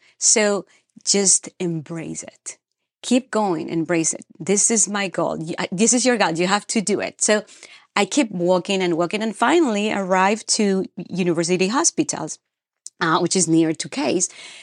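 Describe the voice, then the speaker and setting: In a dry, close recording with no echo and a quiet background, a woman of medium pitch speaks with a Peruvian accent. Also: ordinary pitch variation, moderate pace. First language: Spanish. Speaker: dentist. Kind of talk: casual interview chat. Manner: halting, emotional.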